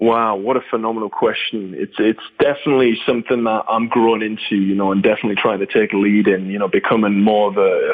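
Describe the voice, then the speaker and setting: The man talks at a very fast pace while noticeable noise fills the background. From northeast England. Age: 20s. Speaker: drummer and drumstick company founder. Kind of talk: casual interview.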